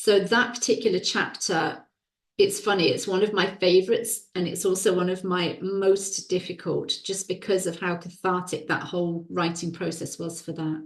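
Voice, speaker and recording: This woman's voice rests at a middle pitch, and her intonation stays fairly level. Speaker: women's well-being coach and author. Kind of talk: interview conversation. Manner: slow, deliberate.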